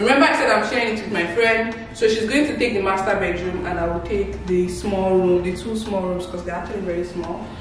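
Faint music plays in the background and room echo can be heard as a woman speaks at a fairly quick pace with ordinary pitch variation. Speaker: vlogger. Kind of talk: casual vlog chat. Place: home room. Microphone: camera far.

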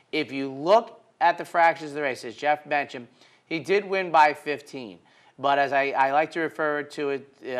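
A man talks at a moderate pace, his pitch shifting in an ordinary way. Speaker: horse racing analyst. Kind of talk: commentary. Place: studio. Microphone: lapel.

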